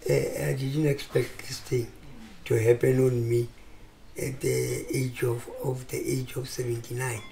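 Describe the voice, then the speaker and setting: A man talks at a fairly slow pace with long, frequent pauses. Noticeable background noise and audible room echo fill the recording. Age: 70s. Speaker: retired football player. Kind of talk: interview. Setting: at home. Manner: halting.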